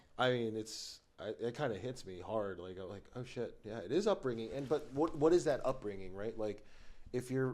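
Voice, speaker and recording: Medium in pitch, a man speaks at a moderate pace with lively intonation and big swings in loudness. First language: Tagalog. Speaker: business executive. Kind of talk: casual chat.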